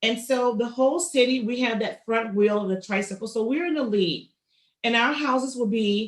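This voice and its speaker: A woman talks at a moderate pace with a fairly high pitch, ordinary pitch variation and a normal speaking voice. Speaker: county assessor's office outreach speaker. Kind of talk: public information presentation.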